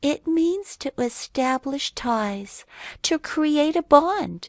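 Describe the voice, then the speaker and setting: A woman's high-pitched, put-on character voice at a very slow pace. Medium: read story. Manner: calm, patient, explanatory.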